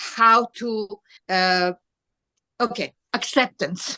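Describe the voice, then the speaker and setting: A woman with a bright, sharp tone. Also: dry, close sound with no echo. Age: 70s. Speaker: twelve-step group co-founder, speaker. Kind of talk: testimony. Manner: halting.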